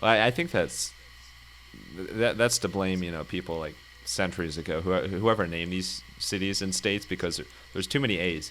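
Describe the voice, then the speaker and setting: A man with a very deep, low pitch and vocal fry, at a fairly quick pace broken by long, frequent pauses. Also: ordinary pitch variation. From US Midwest, Ohio. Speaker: podcast host. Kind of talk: podcast interview. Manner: halting, repeats words.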